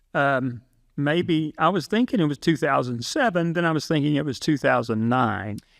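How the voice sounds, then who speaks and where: A man with an ordinary speaking voice, fairly high in pitch, with lively intonation at a moderate pace. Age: 60s. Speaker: film competition founder. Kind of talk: casual interview.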